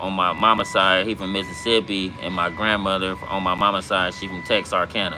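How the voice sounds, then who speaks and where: Over music in the background, a voice with a slight Southern US accent talks at a moderate pace in a monotone, flat intonation with hardly any pauses. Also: man. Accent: sounds country, Southern-tinged. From Compton, Los Angeles, California. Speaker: livestreamer, former gang member. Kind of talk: casual livestream chat and storytelling. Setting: livestream. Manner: casual, filler-heavy.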